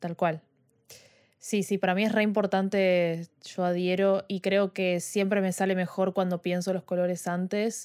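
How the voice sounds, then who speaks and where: At a fairly slow pace, a woman talks in a monotone, flat intonation, recorded dry and close with no echo in a very clean recording with a silent background. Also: medium pitch for a woman. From Argentina, Buenos Aires. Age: 20s. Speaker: podcast host and photographer. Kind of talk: casual chat. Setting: live stream.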